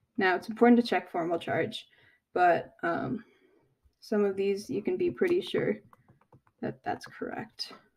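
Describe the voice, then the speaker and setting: With vocal fry and lively intonation, a woman talks at a medium pitch and a fairly slow pace, leaving long, frequent pauses. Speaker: chemistry tutor. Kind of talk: tutorial.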